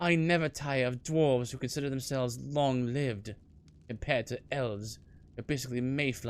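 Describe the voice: The speaker delivers plain reading aloud.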